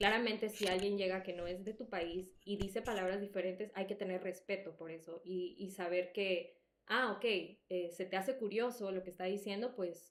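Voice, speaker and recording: The pace is moderate. There are hardly any pauses. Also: woman, medium pitch for a woman. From El Salvador. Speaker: podcast co-host. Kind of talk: casual chat. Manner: animated.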